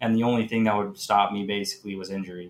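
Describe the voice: A man's fairly low-pitched voice at a fast pace, with fairly even intonation.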